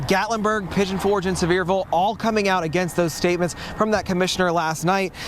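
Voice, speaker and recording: A very fast man with a high pitch and an American accent, very even in loudness, fairly even in intonation, against noticeable background noise. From South Carolina. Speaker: TV news reporter. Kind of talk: broadcast news reporting. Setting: on location outdoors. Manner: serious, urgent.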